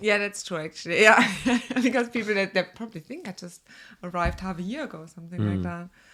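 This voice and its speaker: In a German accent, a woman talks at a very fast pace and medium pitch, with ordinary pitch variation and big swings in loudness. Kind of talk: casual podcast conversation.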